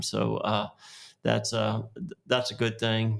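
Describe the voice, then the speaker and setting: A man talks with a West Texas accent. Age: 60s. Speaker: oil and gas executive. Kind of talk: podcast interview. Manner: halting, many fillers.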